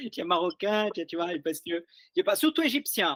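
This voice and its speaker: The speaker races along at a very fast pace with lively intonation. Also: man. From Brazil. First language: Portuguese (speaking French). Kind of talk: casual discussion. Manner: halting, many repetitions.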